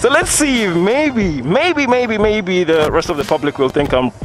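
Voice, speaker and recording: A man at a moderate pace, with clear music in the background and a dry sound with no echo. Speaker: moto vlogger reviewing a bike. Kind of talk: casual ride commentary. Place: motorbike. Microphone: helmet.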